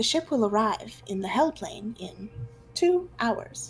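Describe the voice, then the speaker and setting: A woman puts on a character voice at a fairly high pitch. Her pace is fairly slow. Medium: actual play. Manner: barks, then plain announcing.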